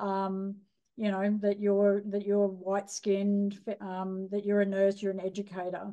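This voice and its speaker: Speaking fairly slowly with an Australian accent, a woman keeps a dark, mellow tone at a medium pitch, her intonation monotone and flat. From rural Australia. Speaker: nurse educator. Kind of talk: lecture. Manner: hesitant, many fillers.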